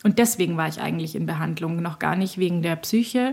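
A woman's normal speaking voice, fairly low-pitched, at a fairly quick pace with ordinary pitch variation. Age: 40s. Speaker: journalist and author. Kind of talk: personal interview about depression. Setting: outdoors at a subway station and at home.

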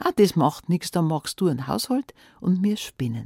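A woman's somewhat breathy, fairly low voice, warm, dark and mellow in tone, with lively intonation and a dry, close sound with no echo. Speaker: fairy tale narrator. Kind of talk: fairy tale telling, folksy storytelling in dialect, addressing listeners directly. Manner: warm, cozy, lively storyteller voice with dialect colour; conversational, unhurried with expressive character voices.

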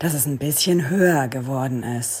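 A woman speaks at a fairly slow pace. Her very deep, low pitch carries a dark, mellow tone. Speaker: podcast co-host, recovering accident survivor. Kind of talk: audio diary recordings.

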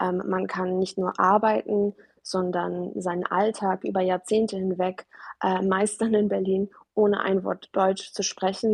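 Here a woman talks at a fairly slow pace. Her intonation is monotone and flat. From Germany, arrived as refugee child from Afghanistan. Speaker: artist and author. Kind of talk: interview. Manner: frequent hesitations (ähm).

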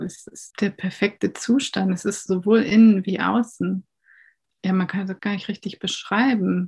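Somewhat breathy and at medium pitch, a woman talks at a fairly slow pace with fairly even intonation, her voice dry and close with no echo. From northern Germany, near Hamburg. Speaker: composer. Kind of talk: interview excerpt.

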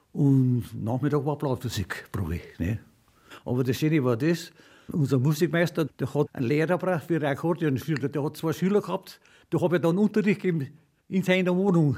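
Heard in a very clean recording with a silent background, a man's fairly high voice has a dark, mellow tone, sounds somewhat breathy and moves at a moderate pace. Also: ordinary pitch variation. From Upper Bavaria, Freising. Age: 90s. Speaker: retired trumpeter and folk musician. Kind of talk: interview. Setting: at home.

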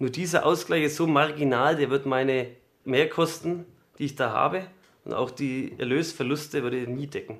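This man has an unremarkable speaking voice with fairly even intonation. He keeps a moderate pace. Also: fairly high pitch for a man. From Franconia, Bavaria. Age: young. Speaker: farmer. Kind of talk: interview.

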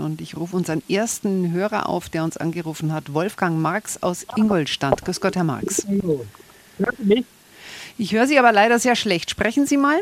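Her intonation moves in a lively way. The woman keeps to a moderate pace. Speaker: radio host. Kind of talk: call-in radio discussion. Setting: radio studio. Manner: brisk pace.

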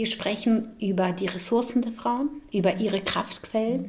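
A woman speaks with fairly even intonation. Noticeable background noise runs beneath her voice. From Bosnia. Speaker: psychologist. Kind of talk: explanatory interview.

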